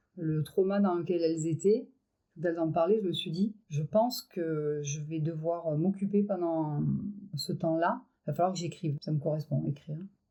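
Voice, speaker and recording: A woman speaks in a dark, mellow tone at a fairly low pitch. Her pitch varies in an ordinary way, and her pace is moderate. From Avignon, France. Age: 50s. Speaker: feminist activist. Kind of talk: podcast interview answer.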